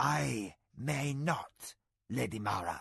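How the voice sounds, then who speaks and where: A man's gruff, put-on character voice at medium pitch, with very wide pitch swings. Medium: read story. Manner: proud, matter-of-fact.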